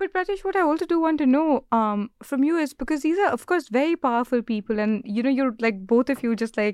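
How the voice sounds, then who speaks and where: Speaking fairly quickly with an Indian accent, a woman makes very wide pitch swings, heard dry and close with no echo. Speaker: podcast host and interviewer. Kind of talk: casual interview.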